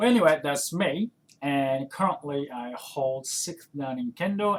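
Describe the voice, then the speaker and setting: A man of medium pitch at a very slow pace, over noticeable background noise. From Japan. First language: Japanese. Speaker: kendo instructor and podcaster. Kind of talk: casual podcast monologue. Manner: hesitant, many fillers and restarts.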